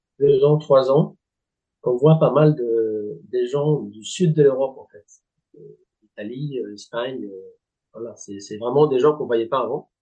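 Very slow speech in a Spanish accent, with long, frequent pauses and big swings in loudness. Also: man. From Spanish Basque Country. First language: Spanish (speaking French). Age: 40s. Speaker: golf club director. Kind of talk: interview. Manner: halting, many hesitations.

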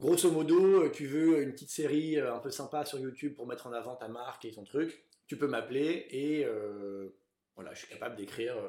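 The man's pitch varies in an ordinary way, and his tone is dark and mellow. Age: 30s. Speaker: author and actor, film recommendation video creator. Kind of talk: casual interview chat. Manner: hesitant, many fillers.

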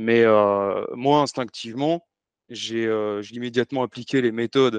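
A plain, everyday voice from a man, medium-pitched and at a fairly slow pace with fairly even intonation, in a dry, close sound with no echo and a quiet background. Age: 40s. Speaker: former army officer turned business consultant. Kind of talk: podcast interview.

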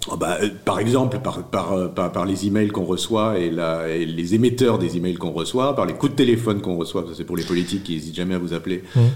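A very deep, low-pitched man's voice with ordinary pitch variation, fairly quick with hardly any pauses, over noticeable background noise. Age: 50s. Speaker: newsletter founder and writer. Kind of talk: interview. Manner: halting, many repetitions.

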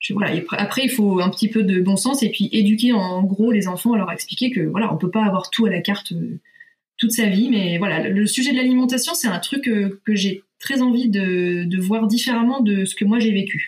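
An unremarkable speaking voice moves at a moderate pace with very even loudness. Pitch varies in an ordinary way. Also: woman, medium pitch for a woman. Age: 30s. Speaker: nurse and parenting blogger. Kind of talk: casual interview.

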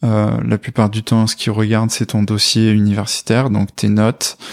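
Recorded very cleanly against a silent background, with a dry, close sound and no echo, a man speaks fairly slowly in a fairly low pitch with fairly even intonation. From France, Corrèze (Brive-la-Gaillarde). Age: 20s. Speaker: software developer, former biology student. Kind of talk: testimony interview. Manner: hesitant, many fillers.

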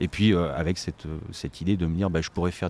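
At a very fast pace, a man speaks with a very deep, low pitch and ordinary pitch variation. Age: 40s. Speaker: charity volunteer and finance manager. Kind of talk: interview. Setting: on location at a community restaurant. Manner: halting.

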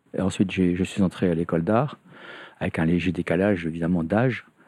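Against a quiet background, a man with a very deep, low pitch and a dark, mellow tone talks at a fairly quick pace, the sound dry and close with no echo. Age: 70s. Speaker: retired art history professor, artist residency founder. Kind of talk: interview, storytelling.

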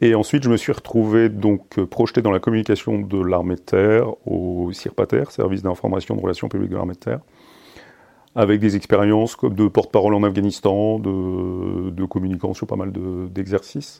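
A man at a fairly low pitch, his intonation fairly even, his pace moderate. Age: 50s. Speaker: army officer. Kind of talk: interview. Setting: ministry office. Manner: halting.

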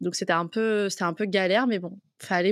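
In a very clean recording with a silent background and a dry, close sound with no echo, a woman has an unremarkable speaking voice at a medium pitch. She moves at a fairly quick pace with fairly even intonation. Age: 20s. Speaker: freelance content creator. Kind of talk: casual interview.

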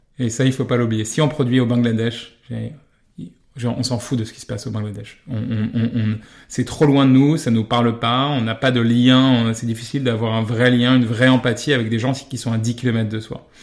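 Flat and monotone, a man talks at a moderate pace with medium pitch. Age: 30s. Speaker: fashion brand co-founder. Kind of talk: interview. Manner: hesitant, many fillers and repetitions.

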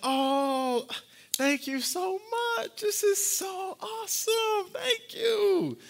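This put-on character voice sits at an extremely high pitch with very wide pitch swings. It moves at a very slow pace. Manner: gushing, fake-sounding, put-on.

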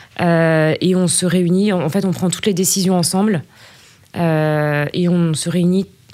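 Very slowly, a woman speaks in a fairly low pitch with a dark, mellow tone, fairly even intonation and very even loudness. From Burgundy, France. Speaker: finance director. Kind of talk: interview. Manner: halting, many fillers.

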